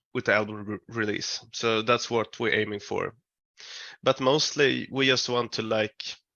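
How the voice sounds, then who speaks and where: A man's medium-pitched, monotone delivery with flat intonation and a Swedish accent. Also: moderate pace. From Sweden. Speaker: metal band musician. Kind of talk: interview. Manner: halting.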